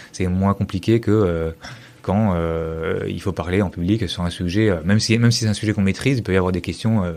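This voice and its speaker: The man's intonation stays fairly even as he talks at a fairly quick pace. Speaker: tech company CTO. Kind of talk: podcast interview. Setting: meeting room at his company, two people. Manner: fast; hesitant, many fillers.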